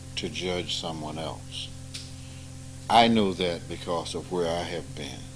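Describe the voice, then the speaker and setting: There is noticeable background noise and audible room echo. A man with a very deep, low voice speaks at a very slow pace with long, frequent pauses. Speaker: spiritual teacher. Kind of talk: informal spiritual talk with students. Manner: animated.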